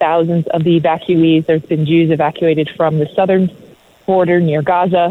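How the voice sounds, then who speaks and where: Monotone, flat intonation in an American accent, over noticeable background noise. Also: woman. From Israel. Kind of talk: interview. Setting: remote call from Israel.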